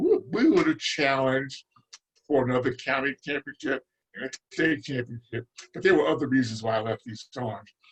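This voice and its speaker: With an American accent, the voice comes across somewhat breathy at a fairly quick pace, with big swings in loudness. The sound is dry and close, with no echo. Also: man, medium pitch for a man, ordinary pitch variation. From New Jersey, Newark. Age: 70s. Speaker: retired basketball coach. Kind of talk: interview. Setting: podcast.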